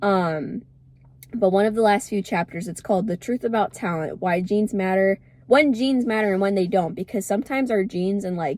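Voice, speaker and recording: This woman's voice sits at a medium pitch, with ordinary pitch variation. She talks at a fairly quick pace. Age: 20s. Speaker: lifestyle vlogger. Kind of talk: casual vlog talk. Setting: in a car. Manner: fast.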